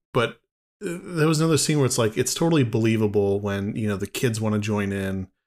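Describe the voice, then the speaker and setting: Here a man has an ordinary speaking voice at a fairly low pitch and a fairly quick pace. The recording is very clean, with a silent background. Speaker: podcast host. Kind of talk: casual chat.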